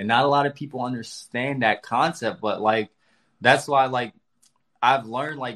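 Here a man has an ordinary speaking voice, medium in pitch, with an American accent. His intonation is fairly even over a quiet background. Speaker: firefighter and spiritual content creator. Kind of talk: casual chat. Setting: live video call.

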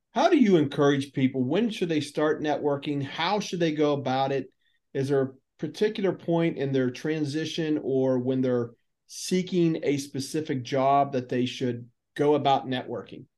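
With a normal speaking voice, a man talks at a moderate pace, his fairly high pitch showing ordinary variation. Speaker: podcast host. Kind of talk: interview.

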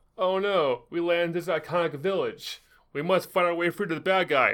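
Here a man speaks with a high pitch at a moderate pace. The recording is very clean, with a silent background. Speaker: gaming news presenter. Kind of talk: casual chat.

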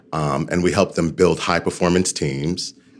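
A man's very deep, low voice carries vocal fry and ordinary pitch variation. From New York City. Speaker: leadership coach and organizational development consultant. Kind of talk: interview.

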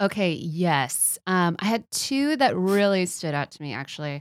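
With an American accent, a woman with a plain, everyday voice speaks at a medium pitch and a fairly slow pace with lively intonation. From Texas. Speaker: podcast guest. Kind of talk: casual chat.

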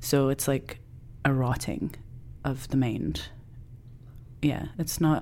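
Very slowly and with long, frequent pauses, a woman in a Scottish accent speaks at a very deep, low pitch with vocal fry and ordinary pitch variation. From Scotland. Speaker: filmmaker and actor. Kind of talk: interview, personal reflection.

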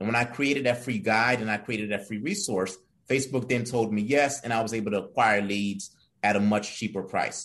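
Against a quiet background, a man with an unremarkable speaking voice, medium pitch and fairly even intonation talks at a fairly quick pace. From immigrant to the US from another country. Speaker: entrepreneur and executive director. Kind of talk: interview podcast.

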